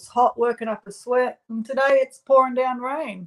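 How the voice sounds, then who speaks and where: With an Australian accent, a woman talks at a moderate pace using fairly even intonation. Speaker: live stream co-host. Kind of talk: casual chat. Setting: live stream with chat.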